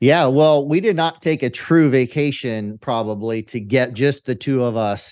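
Someone with an American accent speaks at a moderate pace in an ordinary speaking voice, with ordinary pitch variation and hardly any pauses. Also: man, medium pitch for a man. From California Central Valley, US. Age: 50s. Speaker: entrepreneur and podcast host. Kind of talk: interview.

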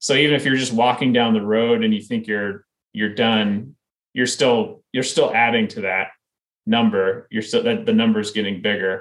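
A man with an American accent speaks at a moderate pace. His pitch sits in the middle range and his intonation stays fairly even. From US Midwest, Iowa. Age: 30s. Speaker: ultramarathon runner. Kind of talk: interview.

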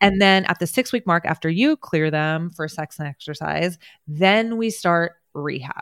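This woman has a normal speaking voice with a fairly low pitch and ordinary pitch variation, at a moderate pace. The sound is dry and close with no echo, on a very clean recording with a silent background. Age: 40s. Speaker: pelvic floor physical therapist. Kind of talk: interview.

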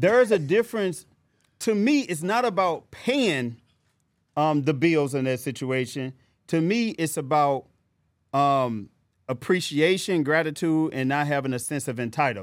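A man with an American accent speaks at a moderate pace in a fairly high pitch, his animated tone and lively intonation broken by long, frequent pauses. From US Midwest, St. Louis. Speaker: podcast co-host, investor. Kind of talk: casual chat; motivational speech.

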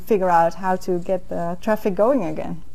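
Speaking fairly quickly, a woman is heard with audible room echo. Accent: Dutch. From Netherlands, near Enkhuizen. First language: Dutch. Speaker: diplomat. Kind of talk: interview. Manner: hesitant, with fillers.

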